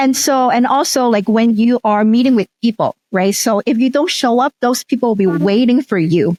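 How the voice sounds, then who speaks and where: A woman's fairly high-pitched, dark, mellow voice with a Cantonese accent, lively intonation, very even loudness and a moderate pace, dry and close with no echo. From Hong Kong. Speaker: teacher educator and researcher. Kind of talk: interview.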